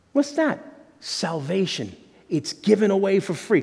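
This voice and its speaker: Against a quiet background, a man speaks with lively intonation. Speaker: pastor. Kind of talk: sermon. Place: church.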